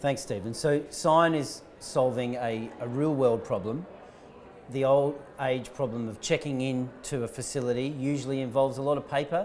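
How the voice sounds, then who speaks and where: At a moderate pace and a medium pitch, a man speaks with fairly even intonation amid audible room echo. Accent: Australian. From Australia. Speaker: startup founder and CEO. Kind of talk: conference interview. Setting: live conference stream.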